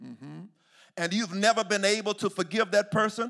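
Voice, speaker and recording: Over music in the background, a man talks in an animated tone at a high pitch. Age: 40s. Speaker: pastor. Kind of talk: sermon.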